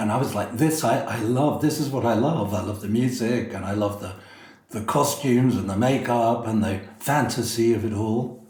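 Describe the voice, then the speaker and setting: A man with fairly even intonation, amid audible room echo and noticeable background noise. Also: medium pitch for a man, moderate pace. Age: 60s. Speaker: drag performer. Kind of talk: interview.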